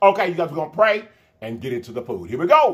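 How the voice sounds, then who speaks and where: A man's voice makes very wide pitch swings, set against a quiet background. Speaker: food vlogger. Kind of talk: casual vlog chat. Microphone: phone near.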